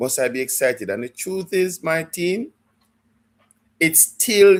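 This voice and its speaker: Speaking with a Jamaican accent, a man uses a high pitch and lively intonation at a fairly slow pace. The recording is very clean against a silent background. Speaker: football fan livestreamer. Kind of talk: live stream chat. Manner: halting, repeats words.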